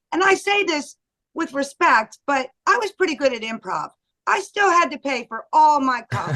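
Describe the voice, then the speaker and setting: A raised, projected voice with a bright, sharp tone swings very widely in pitch, captured as a dry, close sound with no echo. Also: woman, high pitch for a woman, moderate pace. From US Northeast, Lancaster County, Pennsylvania. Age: old. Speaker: comedian. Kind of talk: casual chat.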